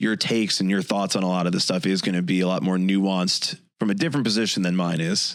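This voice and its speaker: With an American accent and a plain, everyday voice, a man speaks at a fairly quick pace and fairly low pitch with ordinary pitch variation, in a very clean recording over a silent background. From Chicago suburbs. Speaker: podcast co-host. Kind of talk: casual chat.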